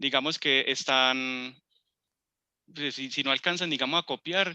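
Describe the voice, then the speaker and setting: Against a quiet background, the speech moves at a fairly slow pace with fairly even intonation and a bright, sharp tone, recorded dry and close with no echo. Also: man, fairly high pitch for a man. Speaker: computer course instructor. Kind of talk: tutorial. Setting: video call.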